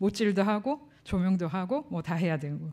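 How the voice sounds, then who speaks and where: A woman talks at a fairly quick pace in a dark, mellow tone over a quiet background. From South Korea. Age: 40s. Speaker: professor and sound engineer; professor. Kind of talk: conference lecture. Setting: lecture hall with audience. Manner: casual, conversational. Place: hall. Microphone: podium.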